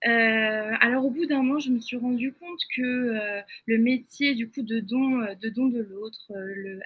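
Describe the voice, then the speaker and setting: The speaker is a woman with a high pitch. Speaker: image consultant, webinar speaker. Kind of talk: webinar presentation. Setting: online webinar. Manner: halting, many fillers.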